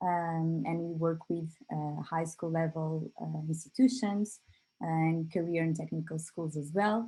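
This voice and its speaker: A woman with a Portuguese accent speaks at a fairly slow pace, somewhat breathy, with a fairly low pitch, a dark, mellow tone and ordinary pitch variation. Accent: Portuguese, non-native English. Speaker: company representative presenting a product. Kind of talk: online workshop presentation. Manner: hesitant, many fillers.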